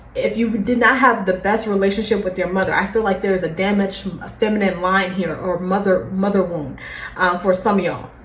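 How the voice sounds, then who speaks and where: Amid noticeable background noise and audible room echo, a woman of medium pitch speaks at a fairly quick pace. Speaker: tarot reader. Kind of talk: tarot reading. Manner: fast; animated.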